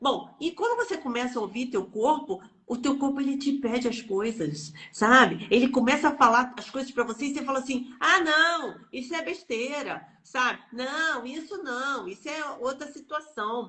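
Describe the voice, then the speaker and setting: A woman speaks in a raised, projected voice with a bright, sharp tone, a high pitch with ordinary variation, and a moderate pace with hardly any pauses. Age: 60s. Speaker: energy healing teacher. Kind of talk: live stream chat. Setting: online live stream. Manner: animated.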